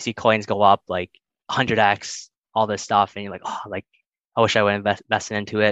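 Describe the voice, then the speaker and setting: In a Canadian accent, a man speaks with monotone, flat intonation at a fairly low pitch. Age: 20s. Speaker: engineer, crypto investor. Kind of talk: interview testimony. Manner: halting, many fillers.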